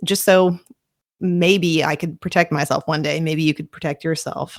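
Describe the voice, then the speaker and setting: A woman's fairly low voice with a slight Southern US accent, dry and close with no echo. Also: very clean recording, silent background. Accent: slight Southern twang. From Kentucky. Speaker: true crime podcaster. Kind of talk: podcast narration. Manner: casual, with filler words.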